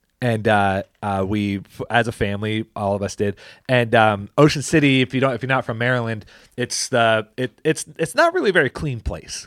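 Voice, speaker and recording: Recorded very cleanly and dry, close with no echo over a silent background, a man speaks at a moderate pace with medium pitch and ordinary pitch variation. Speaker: pastor and podcast host. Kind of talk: casual chat. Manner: loud; halting.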